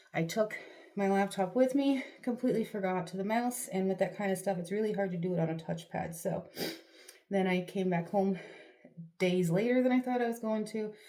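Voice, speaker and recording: A woman talks at a very fast pace in a dark, mellow tone with a medium pitch. Her ordinary pitch variation comes through with audible room echo. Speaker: vlogger. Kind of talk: casual chat. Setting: bathroom. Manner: whispering at first; chatty, rambling filler words.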